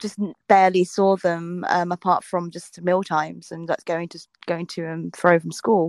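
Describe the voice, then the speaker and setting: In a southern English accent, a woman talks at a moderate pace in a fairly low voice, monotone and flat, with big swings in loudness and a dry, close sound with no echo. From southern England (South Coast). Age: 20s. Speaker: food and travel vlogger. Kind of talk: casual interview chat.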